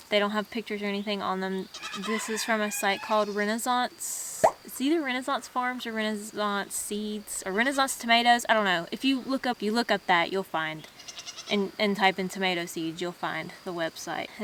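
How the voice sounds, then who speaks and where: A woman at a medium pitch speaks at a moderate pace with ordinary pitch variation, noticeable background noise audible throughout. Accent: Southern US. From US South. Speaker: homesteading vlogger. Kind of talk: casual tutorial vlog. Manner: casual, halting in places.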